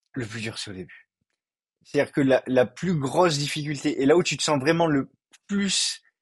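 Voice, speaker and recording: A man is speaking here, fairly high in pitch. His voice is somewhat breathy. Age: 20s. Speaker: physiotherapy student and clothing reseller. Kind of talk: casual interview. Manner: halting, many repetitions.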